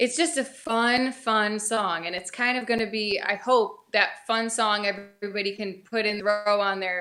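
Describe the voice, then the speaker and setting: A woman with an American accent speaks at a moderate pace with hardly any pauses. Her pitch is fairly high, with ordinary variation. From upstate New York. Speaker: country singer. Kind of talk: casual chat. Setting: studio.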